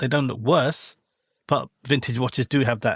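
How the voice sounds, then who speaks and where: A man speaks in a normal speaking voice at a medium pitch and moderate pace. The sound is dry and close with no echo, and his pitch varies in an ordinary way. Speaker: podcast host. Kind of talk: casual podcast talk.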